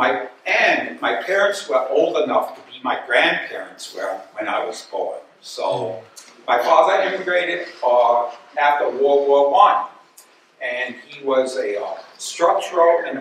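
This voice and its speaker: A man speaks at a fairly slow pace, with big swings in loudness. Light background noise and audible room echo are present. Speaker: guest lecturer. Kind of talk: lecture. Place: hall.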